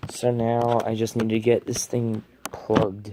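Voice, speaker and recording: A man's medium-pitched voice at a very slow pace against noticeable background noise. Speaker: tech unboxing youtuber. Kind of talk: unboxing tutorial. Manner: casual, hesitant.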